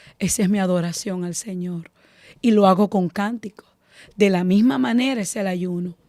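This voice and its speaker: The recording is very clean, and the background is silent. A woman speaks at a moderate pace. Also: long, frequent pauses, dry, close sound with no echo. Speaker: preacher. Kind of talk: sermon.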